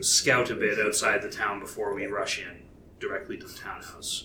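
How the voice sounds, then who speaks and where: A man's put-on character voice at a fairly low pitch and moderate pace, over clear background noise. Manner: brisk, matter-of-fact.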